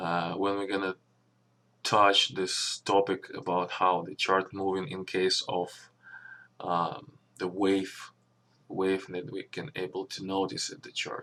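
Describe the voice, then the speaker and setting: On a very clean recording with a silent background, a man with a non-native accent speaks very slowly in a very deep, low pitch, his tone bright and sharp, intonation fairly even and loudness swinging widely. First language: not English. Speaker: stock trader and channel owner. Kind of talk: channel introduction and trading explanation. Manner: halting, with fillers.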